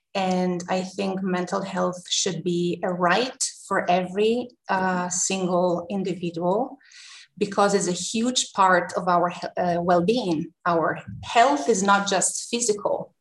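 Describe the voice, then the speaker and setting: Very slowly and somewhat breathily, a woman of medium pitch speaks with an Italian accent and ordinary pitch variation. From Italy, Tuscany. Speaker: university counselor. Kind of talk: interview. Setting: video call.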